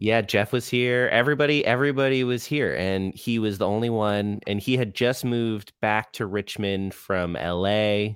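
Recorded very cleanly over a silent background, a man with an American accent uses a normal speaking voice at a fairly low pitch, with ordinary pitch variation and a moderate pace. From Florida (Orlando). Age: 30s. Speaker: touring rock musician. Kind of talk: casual chat.

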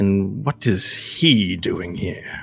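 A man uses a put-on character voice. His fairly low pitch carries lively intonation. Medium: actual play. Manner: sneering, condescending.

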